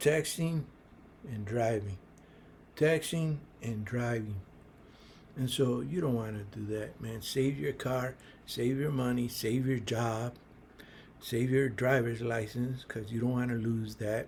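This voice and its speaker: With long, frequent pauses, a man speaks fairly slowly at medium pitch with ordinary pitch variation. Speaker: small business advice youtuber. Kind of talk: casual advice monologue. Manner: halting, many fillers.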